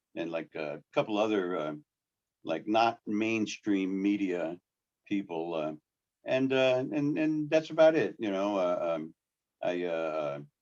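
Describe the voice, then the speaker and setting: A man with a New York accent speaks at a very slow pace. His fairly low voice swings very widely in pitch. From New York City. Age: 60s. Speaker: sign painter. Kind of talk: casual chat. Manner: halting.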